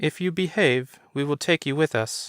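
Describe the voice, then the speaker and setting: In a put-on character voice, a man talks at a moderate pace with fairly high pitch, the sound dry and close with no echo on a very clean recording with a silent background. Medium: read story. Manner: authoritative.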